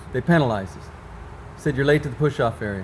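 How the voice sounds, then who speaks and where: With ordinary pitch variation, this voice comes across as somewhat breathy. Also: man. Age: 60s. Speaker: sprint car team owner. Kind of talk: casual interview.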